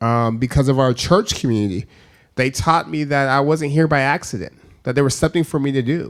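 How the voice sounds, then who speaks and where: At a moderate pace, a man with an American accent talks at medium pitch with ordinary pitch variation, an unremarkable speaking voice. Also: very clean recording, silent background. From California, Stockton. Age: 30s. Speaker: former mayor and universal basic income advocate. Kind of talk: public talk interview. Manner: repetitive false starts.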